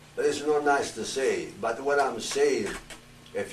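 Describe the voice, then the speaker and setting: A man speaks with noticeable background noise. There is audible room echo. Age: 80s+. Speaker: retired pro wrestler. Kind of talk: panel talk. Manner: halting.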